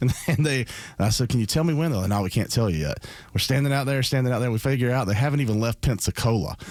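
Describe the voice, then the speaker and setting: Very fast male speech in a Southern accent, medium in pitch, with lively intonation, very even loudness, and a very clean recording with a silent background. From south Georgia, US South. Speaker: state senator and political candidate. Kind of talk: radio interview. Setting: studio.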